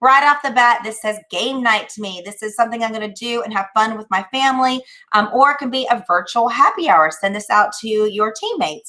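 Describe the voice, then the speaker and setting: Speaking at a fairly quick pace, a woman with a Charleston accent has a bright, sharp tone, a fairly high pitch and ordinary pitch variation. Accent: Charleston, South Carolina. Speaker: promotional products presenter. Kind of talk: product demonstration. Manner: animated.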